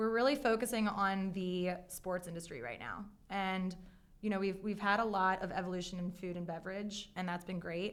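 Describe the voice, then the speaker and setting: A woman talks at a moderate pace with a Baltimore accent. Her pitch varies in an ordinary way. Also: medium pitch for a woman. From Maryland, Baltimore area. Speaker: apparel brand founder. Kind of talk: interview. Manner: animated.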